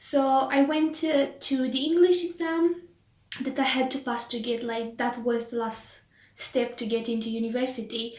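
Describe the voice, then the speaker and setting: With a Romanian accent, a woman speaks in a high voice with ordinary pitch variation, and room echo is audible. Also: moderate pace. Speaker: vlogger. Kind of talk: casual chat. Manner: animated.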